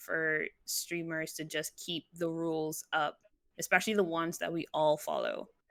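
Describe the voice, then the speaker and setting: A woman speaks with a fairly low pitch and a bright, sharp tone. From Barbados. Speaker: Twitch streamer. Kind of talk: casual chat. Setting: live stream talk show.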